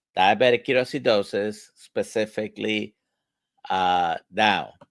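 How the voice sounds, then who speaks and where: Fairly low male voice with vocal fry, fairly slow, dry and close with no echo. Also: ordinary pitch variation. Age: 60s. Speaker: medical doctor, livestream host. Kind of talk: live Q&A discussion. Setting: livestream video call.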